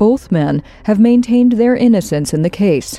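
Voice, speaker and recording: Using a normal speaking voice, a woman talks at a moderate pace and medium pitch with lively intonation. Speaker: true crime podcast narrator. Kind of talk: scripted true-crime narration, read in a steady, serious, newsreader-like tone. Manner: measured, even-paced and matter-of-fact.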